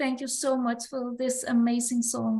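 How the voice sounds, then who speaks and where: A woman with a non-native accent talks at a fairly slow pace. Her high voice has a monotone, flat intonation. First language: not English. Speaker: musician. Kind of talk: casual chat.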